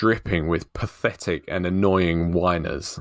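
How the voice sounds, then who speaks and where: The recording of a man's voice is dry and close, with no echo. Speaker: author and podcast host. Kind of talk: casual chat. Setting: online remote recording. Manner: stumbles when speaking quickly.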